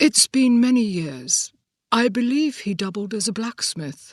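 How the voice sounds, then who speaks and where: A woman puts on a character voice with a slight British accent, speaking at a moderate pace with a fairly high pitch. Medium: read story. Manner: dry, understated.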